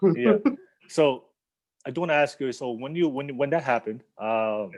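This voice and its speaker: This is a normal speaking voice of a man at a medium pitch. He keeps a moderate pace with ordinary pitch variation. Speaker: podcast host. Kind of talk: casual podcast interview.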